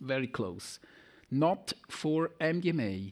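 In a very clean recording with a silent background, a man with a Swiss German accent is heard. His pitch is fairly high and his intonation lively. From German-speaking Switzerland. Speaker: pharmacology professor. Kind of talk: lecture. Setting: conference hall with audience.

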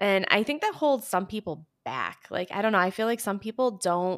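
A woman with an American accent talks at a moderate pace and medium pitch, her pitch swinging very widely. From US Midwest, Michigan. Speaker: podcast host. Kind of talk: casual chat.

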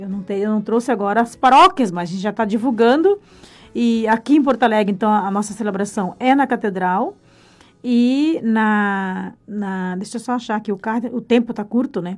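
A moderate pace with ordinary pitch variation. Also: woman, fairly high pitch for a woman. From Brazil, rural Paraná. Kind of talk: radio interview. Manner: halting, with repetitions.

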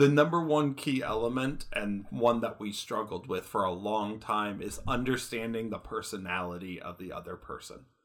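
With an American accent, a man in an ordinary speaking voice talks at a moderate pace and medium pitch, his loudness swinging widely. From Michigan. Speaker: podcast co-host, IT help desk technician. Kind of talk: casual chat.

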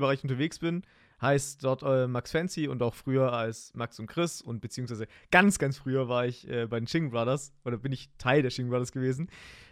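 A man talks with a normal speaking voice at a medium pitch and moderate pace, with ordinary pitch variation, on a very clean recording with a silent background. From Germany, Heidenheim (Swabia). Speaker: podcast host, streamer. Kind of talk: casual chat. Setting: home streaming room.

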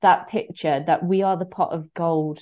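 A woman's fairly low voice at a moderate pace with ordinary pitch variation, a plain, everyday voice. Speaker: online fitness coach. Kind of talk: casual chat. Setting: live online video.

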